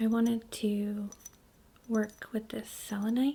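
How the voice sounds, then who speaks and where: Soft-spoken and calm in tone, a woman talks at a very slow pace with a fairly high pitch, a dark, mellow tone, a somewhat breathy voice and monotone, flat intonation. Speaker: reiki practitioner. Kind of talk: reiki asmr healing session. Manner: soft-spoken, calm.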